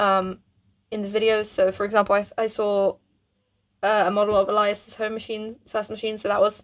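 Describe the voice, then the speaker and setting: Monotone and flat, a woman speaks at a moderate pace and a medium pitch. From Poland. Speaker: YouTuber. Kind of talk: casual talk to camera. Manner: halting, many fillers and restarts.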